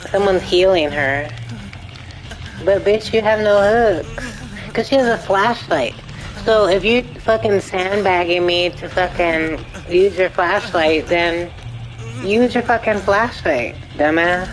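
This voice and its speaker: With music in the background, a woman speaks at medium pitch and a fairly slow pace, using ordinary pitch variation and long, frequent pauses. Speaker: video game streamer. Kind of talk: live gameplay commentary.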